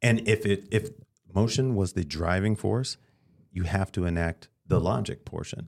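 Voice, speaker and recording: A man speaks with an American accent in a plain, everyday voice. His pitch is fairly low, with ordinary pitch variation at a moderate pace. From Detroit, US Midwest. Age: 40s. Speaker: comedian. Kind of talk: casual chat.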